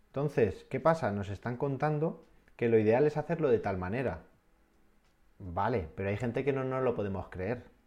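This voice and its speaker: In a normal speaking voice, a man talks at medium pitch and a moderate pace with lively intonation. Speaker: adventurer and dream-project entrepreneur. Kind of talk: interview.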